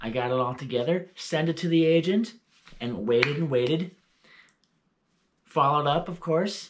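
There is noticeable background noise as a man speaks at a fairly slow pace. His voice is somewhat breathy, with lively intonation. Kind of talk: casual vlog chat. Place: home room.

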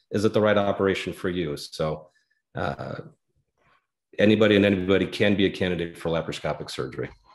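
With an American accent and vocal fry, a man talks very fast at a very deep, low pitch with ordinary pitch variation against a quiet background. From Denver, Colorado. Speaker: general surgeon; guest. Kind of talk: interview explanation. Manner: halting, frequent uh fillers. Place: home room. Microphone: earbuds.

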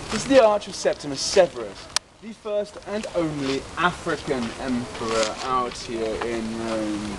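Speaking with a British accent at a moderate pace, a man makes very wide pitch swings. The sound is dry with no echo, though noticeable background noise is present. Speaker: tour guide. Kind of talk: guided tour talk to a group. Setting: outdoors. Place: open country. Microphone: camera far.

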